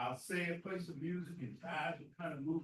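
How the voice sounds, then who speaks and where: In a Southern US accent, a man with a high-pitched voice speaks at a moderate pace with ordinary pitch variation. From US South, grew up near the school. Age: 70s. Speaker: community leader and speaker at veterans event. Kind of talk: speech at a Veterans Day ceremony. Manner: halting.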